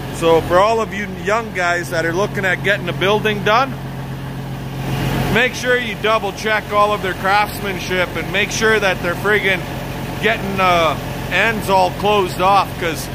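The voice moves at a moderate pace against noticeable background noise. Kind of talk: casual vlog chat. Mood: annoyed, complaining. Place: garage. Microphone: phone near.

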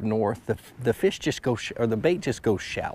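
At a moderate pace, a man talks with a medium pitch and a slightly mellow tone.

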